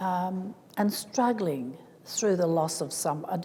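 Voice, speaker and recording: Amid audible room echo and noticeable background noise, a woman with a medium pitch speaks at a very slow pace with ordinary pitch variation. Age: 70s. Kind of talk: symposium talk.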